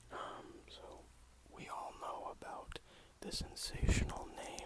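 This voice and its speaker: Whispering very slowly with long, frequent pauses, the speaker is heard against noticeable background noise. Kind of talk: satirical ASMR comedy, casual talk to camera.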